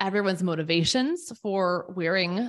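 In a very clean recording with a silent background, a woman's voice sits fairly low. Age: 30s. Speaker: podcast host. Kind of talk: casual interview. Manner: animated.

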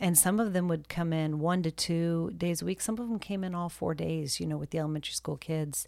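A woman speaks at a moderate pace with ordinary pitch variation. Hers is a plain, everyday voice. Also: very clean recording, silent background. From military family, moved around; calls Texas home. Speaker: nonprofit director and army spouse. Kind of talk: interview, personal story.

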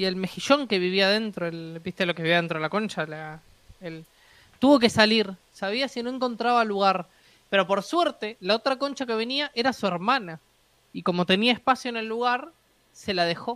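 A woman speaks with a Uruguayan accent and lively intonation. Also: medium pitch for a woman, moderate pace. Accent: Rioplatense Spanish (Uruguayan). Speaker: podcast co-host, design student. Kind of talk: casual chat. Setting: live stream.

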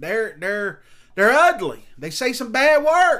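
A man with a Southern US accent uses a raised, projected voice with a bright, sharp tone. His pitch swings very widely at a fairly slow pace. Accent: Southern American. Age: 40s. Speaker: pastor. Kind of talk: sermon.

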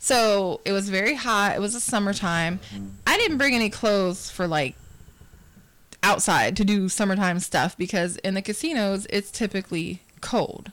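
Here a woman has a normal speaking voice at a medium pitch. She keeps a moderate pace, very even loudness and ordinary pitch variation. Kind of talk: casual chat.

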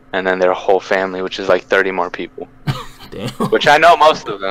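The speaker is a man with a fairly low pitch. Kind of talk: casual chat. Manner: uses slang, storytelling.

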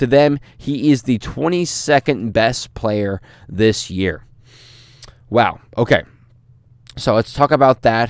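With an American accent, a man speaks at a very slow pace, using ordinary pitch variation and long, frequent pauses, in a dry, close sound with no echo. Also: medium pitch for a man. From US Midwest, St. Louis. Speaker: sports podcast host. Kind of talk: solo podcast monologue. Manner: frequent filler words, casual.

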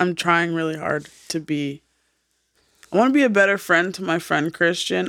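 A woman speaks in an unremarkable speaking voice at a moderate pace. Her pitch is fairly low, with ordinary pitch variation. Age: 30s. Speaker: podcast co-host. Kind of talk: casual chat.

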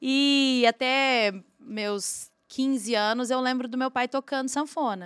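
Very clean recording, silent background, and a dry, close sound with no echo carry a woman speaking very slowly at a fairly high pitch. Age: 40s. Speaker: singer and songwriter. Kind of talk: casual chat.

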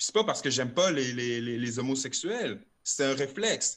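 Moving at a moderate pace, a man talks in a bright, sharp tone with lively intonation. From Quebec City (Limoilou). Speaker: rapper. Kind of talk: casual chat. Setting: video call.

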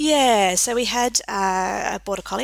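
A woman with an Australian accent. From South Australia, Adelaide. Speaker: vet nurse and college academic director. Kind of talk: casual interview. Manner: hesitant, many fillers.

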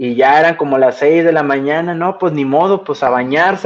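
A normal speaking voice from a man, fairly high-pitched for a man, with ordinary pitch variation and a fairly quick pace. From Reynosa, northern Mexico. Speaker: podcast guest, gaming fan. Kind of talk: casual chat. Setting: video call.

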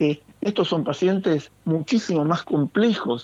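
A man's very slow delivery with lively intonation. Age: 60s. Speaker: intensive care doctor. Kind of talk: interview.

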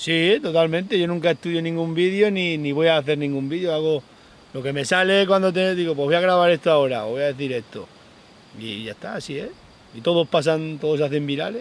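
Here a man with a plain, everyday voice speaks at a fairly high pitch with ordinary pitch variation. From Spain, Extremadura (Sierra de Gata). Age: 40s. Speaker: goatherd and social media creator. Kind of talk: interview. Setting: outdoors.

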